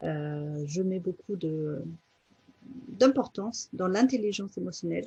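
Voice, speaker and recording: A woman with a somewhat breathy, dark, mellow tone talks at a moderate pace with lively intonation. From Germany. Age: 40s. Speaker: life coach. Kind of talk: interview. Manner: halting, many fillers.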